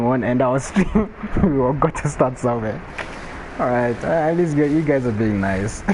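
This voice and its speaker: Over noticeable background noise, a man speaks at a medium pitch and a moderate pace with ordinary pitch variation. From Botswana. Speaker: gaming streamer. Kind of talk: live gameplay stream chat. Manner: casual.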